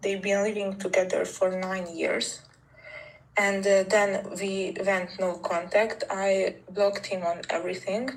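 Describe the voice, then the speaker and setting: A woman with a Hungarian accent speaks at a medium pitch and a fairly slow pace. Her intonation is monotone and flat, with noticeable background noise. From Hungary. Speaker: caller seeking relationship advice. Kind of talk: personal story told on a call. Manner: halting, with hesitations.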